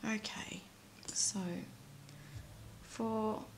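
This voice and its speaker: Against noticeable background noise, a woman speaks at a medium pitch with an Australian accent. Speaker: nail art YouTuber. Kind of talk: tutorial.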